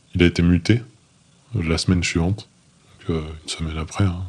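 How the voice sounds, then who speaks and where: Fairly slow, fairly even speech from a man, very deep and low in pitch. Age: 20s. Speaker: former special forces soldier. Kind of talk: interview testimony. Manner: halting, with many fillers and repetitions.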